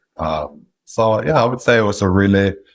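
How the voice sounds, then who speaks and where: A man with a Norwegian accent speaks at a moderate pace with fairly even intonation. The recording is very clean, and the background is silent. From Norway. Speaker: independent sponsor, business acquirer. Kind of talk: interview.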